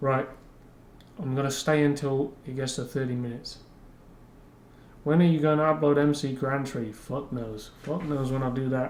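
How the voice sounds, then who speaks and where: With audible room echo, a man of fairly high pitch talks at a moderate pace with fairly even intonation and long, frequent pauses. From London, England. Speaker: YouTuber and rapper. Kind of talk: casual livestream chat. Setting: livestream.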